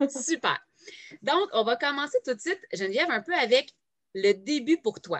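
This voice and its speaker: A woman with a Quebec accent speaks high in pitch at a fairly slow pace, with very wide pitch swings and long, frequent pauses, in a dry, close sound with no echo. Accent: Québécois French. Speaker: podcast host, direct sales entrepreneur. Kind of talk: casual interview. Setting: home, no editing.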